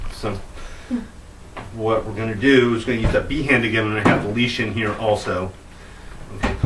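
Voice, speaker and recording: Amid noticeable background noise and audible room echo, a man of medium pitch speaks at a moderate pace. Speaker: dog trainer. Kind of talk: tutorial.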